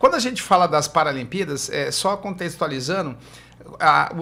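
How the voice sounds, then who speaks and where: Speaking at a moderate pace, a man uses a high pitch for a man with ordinary pitch variation. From Brazil, São Paulo coast (Guarujá). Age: 60s. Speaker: physiotherapist. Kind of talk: podcast interview.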